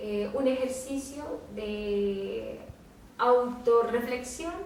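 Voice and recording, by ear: A woman with a fairly high pitch speaks with ordinary pitch variation amid audible room echo.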